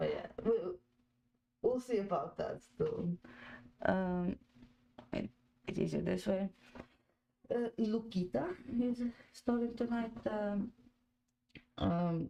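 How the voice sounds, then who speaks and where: Speaking at a very slow pace, a woman talks with a Croatian accent. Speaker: football fan podcast host. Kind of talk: live watch-along chat. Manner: halting, many fillers.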